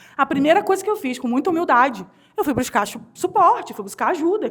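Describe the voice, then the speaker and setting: A woman speaks very fast in a Rio de Janeiro accent. Her tone is animated and her intonation lively. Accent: carioca. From Rio de Janeiro, Brazil. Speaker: HR consultant and speaker. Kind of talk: conference talk.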